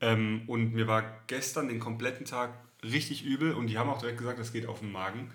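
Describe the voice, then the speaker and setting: Fairly quick speech in a southern German accent, with audible room echo. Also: man. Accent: southern German intonation, still audible. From southern Germany. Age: 30s. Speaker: podcast co-host. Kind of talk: casual chat.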